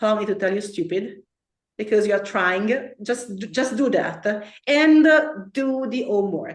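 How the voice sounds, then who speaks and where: A woman speaks in an Italian accent at a fairly slow pace and fairly high pitch. Her intonation is lively, and audible room echo surrounds her. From Italy. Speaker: occult teacher. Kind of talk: lecture. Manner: halting.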